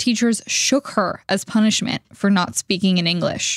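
In a dry, close recording with no echo, a woman with an unremarkable speaking voice talks at medium pitch and a moderate pace, her intonation fairly even. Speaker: podcast narrator and reporter. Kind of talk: scripted narration.

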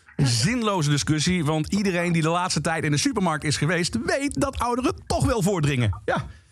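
Over background music, a man talks fairly quickly at a high pitch, his pitch swinging very widely while his loudness stays very even. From Limburg, Netherlands. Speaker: radio DJ. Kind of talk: stand-up.

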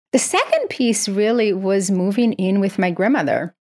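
Speaking in a Portuguese accent, a woman talks at a medium pitch and a moderate pace. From Brazil. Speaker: psychiatry professor and author. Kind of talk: interview.

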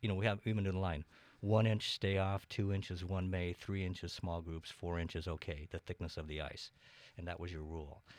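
With an American accent, a man speaks fairly quickly in a very deep, low voice with fairly even intonation, captured in a very clean recording with a silent background. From eastern Washington, US. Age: 60s. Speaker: city council candidate. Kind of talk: casual interview.

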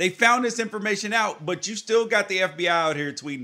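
A man speaks in a raised, projected voice with a bright, sharp tone. His intonation is lively and his pace moderate. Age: 30s. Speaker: podcast host. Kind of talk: casual chat.

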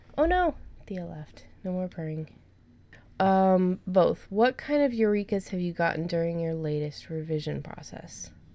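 Using a plain, everyday voice, a woman talks at medium pitch and a fairly slow pace with ordinary pitch variation. Her loudness shifts a lot. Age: 30s. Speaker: podcast host. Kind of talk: casual chat. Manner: laughs often.

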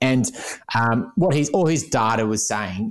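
The background is quiet. A man with an Australian accent speaks at a medium pitch. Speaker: financial planner and podcast co-host. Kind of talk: interview.

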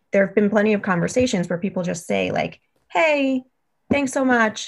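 A somewhat breathy woman with an American accent at a moderate pace, in a very clean recording with a silent background. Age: 30s. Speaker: podcast listener sharing dating story. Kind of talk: casual chat.

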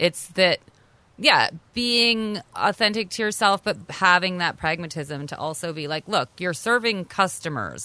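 A fairly slow pace in a Canadian accent. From Canada. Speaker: caterer and restaurant owner. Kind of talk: interview.

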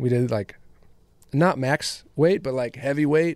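A man talks in an ordinary speaking voice. The sound is dry and close with no echo, on a very clean recording with a silent background. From West Michigan. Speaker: singer-songwriter. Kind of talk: casual interview.

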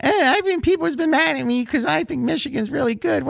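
A whiny put-on character voice, with a whiny tone, rattles along at a very fast pace. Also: man, extremely high pitch for a man.

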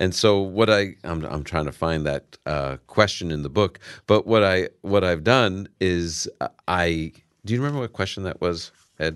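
A man with a New York accent, very deep and low in pitch, with ordinary pitch variation. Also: moderate pace. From New York, Brooklyn. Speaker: Bible professor and radio Bible teacher. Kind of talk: radio interview with listener calls. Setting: radio studio.

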